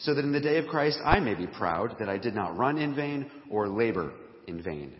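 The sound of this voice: A man with a raspy voice speaks at a moderate pace with lively intonation. Room echo is audible.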